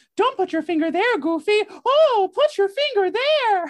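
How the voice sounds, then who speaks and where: In a put-on character voice pitched extremely high, the speaker delivers lines in a cheerful tone at a moderate pace. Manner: cheerful, cartoonish.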